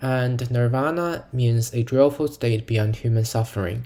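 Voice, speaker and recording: A man with a non-native accent talks at a moderate pace in a medium pitch, somewhat breathy, with a dark, mellow tone and ordinary pitch variation. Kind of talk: educational lecture narration.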